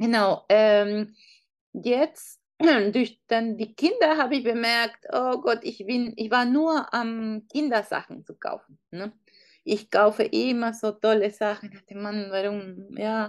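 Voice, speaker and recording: A woman speaks at a very slow pace with a fairly high pitch. Her pitch variation is ordinary, but her loudness swings widely. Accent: Peruvian. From Peru. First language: Spanish (speaking German). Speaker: online shop founder. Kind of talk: interview. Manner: halting.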